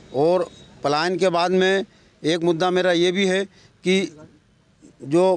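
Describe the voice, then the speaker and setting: A high-pitched male voice amid noticeable background noise. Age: 60s. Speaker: independent election candidate, retired employee. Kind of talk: interview. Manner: halting.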